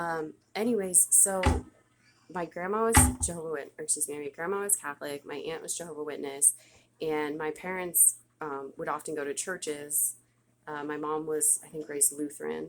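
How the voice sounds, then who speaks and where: A woman speaks with a very deep, low pitch and fairly even intonation. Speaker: vlogger sharing religious testimony. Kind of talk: testimony. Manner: fast.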